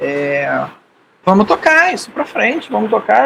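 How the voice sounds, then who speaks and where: Speaking at a moderate pace, a man's voice moves through very wide pitch swings. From Rio de Janeiro, Brazil. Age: 60s. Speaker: podcast co-host, mountaineer. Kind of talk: casual chat.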